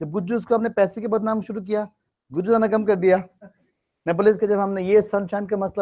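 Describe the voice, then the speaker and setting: A man with a Bengali accent speaks in a high voice. His tone is dark and mellow, and his intonation stays fairly even. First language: Bengali (speaking Hindi). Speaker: English test-prep teacher. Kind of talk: classroom teaching.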